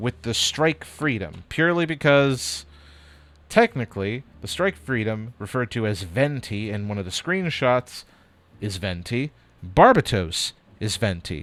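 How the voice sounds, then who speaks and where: A man's medium-pitched voice with very wide pitch swings, dry and close with no echo, music playing in the background. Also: fairly slow pace. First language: Spanish. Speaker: livestreamer building model kits. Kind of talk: casual live stream chat. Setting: live stream at desk with camera.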